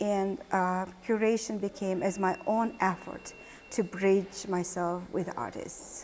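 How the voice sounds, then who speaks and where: This woman talks at a very slow pace in a Mongolian accent. Her medium pitch follows fairly even intonation. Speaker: art historian and curator. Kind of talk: interview.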